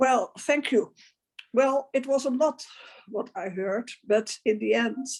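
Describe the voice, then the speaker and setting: With a Dutch accent, a woman speaks at a very slow pace. Her voice is high, with ordinary pitch variation. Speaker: advocate for older women. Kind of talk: panel discussion.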